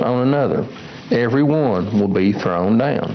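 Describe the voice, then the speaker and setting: Over noticeable background noise and audible room echo, a man at medium pitch speaks at a moderate pace with lively intonation. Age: 60s. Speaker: lay preacher. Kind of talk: sermon.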